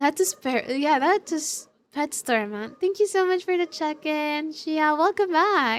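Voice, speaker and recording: A woman with a non-native accent speaks at a fairly slow pace in a high voice, hardly pausing, her tone animated and her intonation lively. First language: not English. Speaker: streamer. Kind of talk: casual chat.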